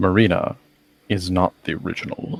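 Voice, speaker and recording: Using a put-on character voice, a man speaks with a very deep, low pitch. His tone is solemn and his pace moderate. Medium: actual play. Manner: formal, solemn.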